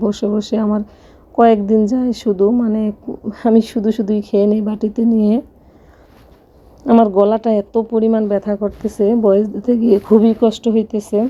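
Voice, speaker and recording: A woman's voice, fairly high in pitch. Her intonation is monotone and flat. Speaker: family vlogger. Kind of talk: vlog voiceover narration. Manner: halting, with self-corrections.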